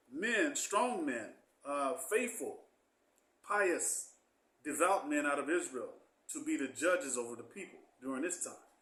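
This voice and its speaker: A man's voice rises and falls in very wide pitch swings at a fairly slow pace. Room echo is audible. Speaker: Bible teacher. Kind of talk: Bible class.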